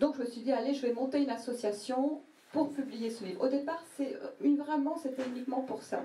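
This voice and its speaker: A woman talks at a fairly quick pace in a high voice with ordinary pitch variation. There is audible echo in the room. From Portugal, Barreiro. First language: Portuguese (speaking French). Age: 40s. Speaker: poet, translator and publisher. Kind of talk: interview at a public evening event. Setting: café event with audience. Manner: hesitant, many fillers.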